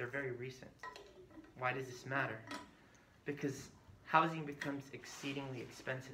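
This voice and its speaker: The man's voice is pitched fairly high. Audible room echo and noticeable background noise surround it. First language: Spanish. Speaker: community health worker trainer. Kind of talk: training session.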